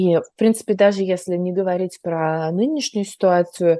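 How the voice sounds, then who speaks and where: A woman speaks at medium pitch and a moderate pace in a dark, mellow tone, recorded dry and close with no echo. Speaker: podcast host, psychologist. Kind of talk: casual interview chat.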